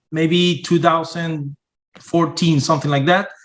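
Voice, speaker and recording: A man speaks with a Spanish accent at a high pitch. His intonation stays fairly even. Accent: Spanish-accented English, non-native. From Venezuela. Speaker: sales and marketing entrepreneur, engineer. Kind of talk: podcast interview. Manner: halting, many fillers.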